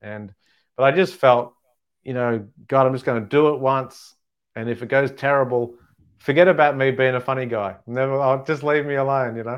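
This man speaks at a medium pitch with an Australian accent. His intonation is fairly even and his pace moderate. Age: 40s. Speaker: stand-up comedian. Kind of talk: casual interview.

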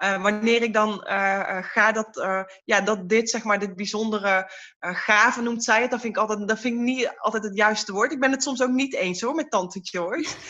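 Her tone is bright and sharp, her pitch fairly high for a woman. She keeps a moderate pace with fairly even intonation. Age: 30s. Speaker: card reader. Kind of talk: podcast interview.

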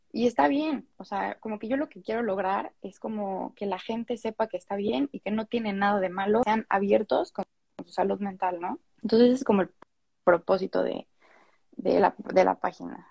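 A woman with a somewhat breathy, dark, mellow tone at medium pitch speaks at a moderate pace, with ordinary pitch variation, big swings in loudness and a dry, close sound with no echo. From Mexico City. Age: young. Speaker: psychology student and content creator. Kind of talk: casual interview chat. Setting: Instagram live video stream.

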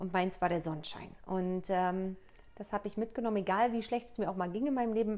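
A woman speaks in a plain, everyday voice at a fairly quick pace. Her pitch is medium, with ordinary pitch variation. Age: 30s. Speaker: coach and author. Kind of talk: casual interview.

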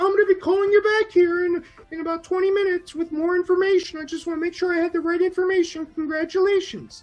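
Faint music plays in the background as a put-on character voice rattles along at a very fast pace and an extremely high pitch. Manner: playfully stifled laughter.

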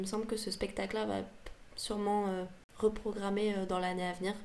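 The speaker is a woman with a medium pitch. Her pace is fairly quick. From Paris, France. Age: 20s. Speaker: singer-songwriter. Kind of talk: casual interview. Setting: podcast recording. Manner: hesitant, many fillers.

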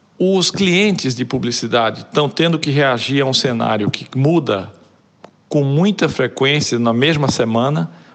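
Speaking slowly-ish at a fairly slow pace, a man uses a medium pitch with a Pernambuco accent. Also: lively intonation. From Brazil, Pernambuco (Olinda). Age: 40s. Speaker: advertising creative director and writer. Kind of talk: casual interview.

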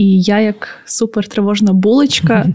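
At a moderate pace, a woman speaks in a dark, mellow tone with a medium pitch and fairly even intonation. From Ukraine, Podillia (Khmelnytskyi area). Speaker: podcast co-host. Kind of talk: casual chat.

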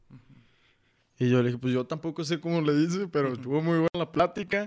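In a very clean recording with a silent background, a man speaks at a very fast pace with ordinary pitch variation. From Mexico, Saltillo, Coahuila. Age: 20s. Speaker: motivational speaker. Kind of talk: podcast interview, personal testimony. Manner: halting, many fillers.

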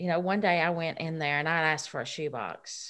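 A woman's fairly low, bright, sharp voice with a Southern US accent and fairly even intonation. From Tennessee. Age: 50s. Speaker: recovered addict and church volunteer. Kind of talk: testimony. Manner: halting.

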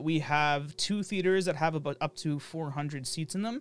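With a normal speaking voice, a man talks at a moderate pace, his pitch fairly high and his intonation fairly even. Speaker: podcast host. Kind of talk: casual chat. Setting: online call recording. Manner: rambling, filler-heavy.

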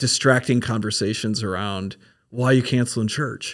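A man with an American accent and a plain, everyday voice speaks at a fairly slow pace. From Minnesota. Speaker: pastor. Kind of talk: casual chat.

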